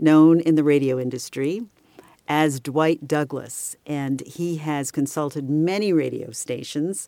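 In a dark, mellow tone, a woman speaks very slowly at a very deep, low pitch. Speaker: podcast host and voiceover artist. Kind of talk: casual interview chat.

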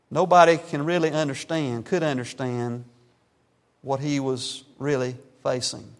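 Over a very clean recording with a silent background, a man talks at a fairly slow pace with fairly even intonation and long, frequent pauses. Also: fairly high pitch for a man. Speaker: pastor. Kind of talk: sermon. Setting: church.

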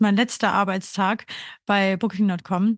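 A woman's medium-pitched voice with fairly even intonation over a quiet background. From Austria, Burgenland. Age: 30s. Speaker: podcast co-host, grief counselor. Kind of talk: casual chat.

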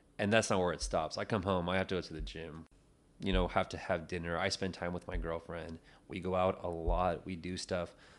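Against a quiet background, a man with a very deep, low pitch speaks at a moderate pace. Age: 20s. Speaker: podcast co-host. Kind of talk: casual chat. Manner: laid-back, slangy, laughs often.

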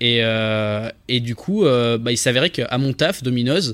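A man talks with a plain, everyday voice. His pitch is medium, with ordinary variation. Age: 20s. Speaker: content creator. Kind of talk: casual interview.

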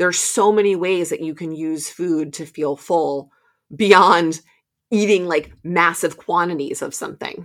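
With an unremarkable speaking voice, a woman talks at a fairly slow pace and fairly low pitch, her intonation fairly even but her loudness swinging widely. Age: 40s. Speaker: movement coach and podcast host. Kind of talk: solo podcast monologue. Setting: home basement recording.

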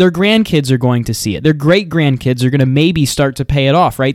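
An animated male voice with ordinary pitch variation, captured in a very clean recording over a silent background. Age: 20s. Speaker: political podcaster. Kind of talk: solo commentary monologue.

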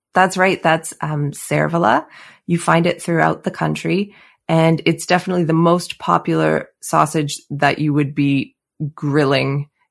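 A woman with a Canadian accent speaks at a very deep, low pitch and a fairly slow pace. Her intonation is fairly even against a quiet background. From Canada, Calgary. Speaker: pastry chef and cookbook author. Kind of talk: interview.

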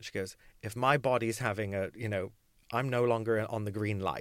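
In a very clean recording with a silent background, a man with a plain, everyday voice speaks at a moderate pace and a fairly low pitch. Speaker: voice coach and rehabilitation specialist. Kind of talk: casual interview chat about vocal injury. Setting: small podcast booth, in person.

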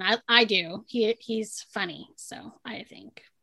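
A woman's fairly high, bright, sharp voice with lively intonation and an American accent. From Southern California, San Diego. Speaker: podcast co-host, entrepreneur. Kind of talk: casual chat.

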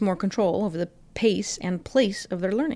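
Using an ordinary speaking voice, a woman of medium pitch talks at a fairly quick pace. The recording is very clean, with a silent background. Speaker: school district podcast host. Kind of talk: interview podcast.

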